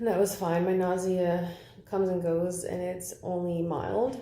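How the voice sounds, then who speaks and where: Speaking at a medium pitch, a woman's voice carries audible room echo. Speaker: vlogger. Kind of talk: casual vlog. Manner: halting.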